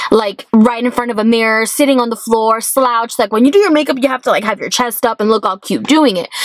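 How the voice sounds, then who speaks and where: With an American accent, a woman talks at a very fast pace with hardly any pauses, a fairly high pitch and fairly even intonation. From US, Miami, Florida. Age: 20s. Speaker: beauty vlogger. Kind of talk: casual vlog monologue. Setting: in a car. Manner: loud; fast, chatty.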